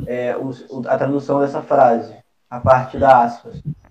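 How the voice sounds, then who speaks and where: His pitch is fairly high for a man. The intonation stays fairly even. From Brazil. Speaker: student in an English study group. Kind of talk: study group session.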